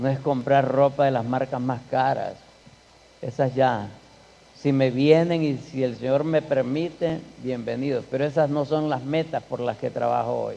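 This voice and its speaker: Using an ordinary speaking voice, a man talks fairly slowly at a medium pitch with fairly even intonation. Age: 60s. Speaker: guest speaker at a church. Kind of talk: church conference talk. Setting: church.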